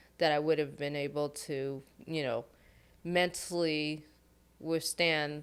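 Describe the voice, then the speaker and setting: In a General American accent, a woman speaks with a very deep, low pitch and monotone, flat intonation on a very clean recording with a silent background. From US West Coast, Long Beach California. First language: Khmer. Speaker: HR consultant. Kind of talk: podcast interview.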